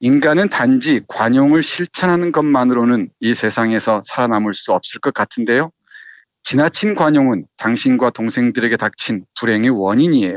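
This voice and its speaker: A plain, everyday voice at a moderate pace, with lively intonation and very even loudness. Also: man, medium pitch for a man. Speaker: literature professor and critic. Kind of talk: book discussion.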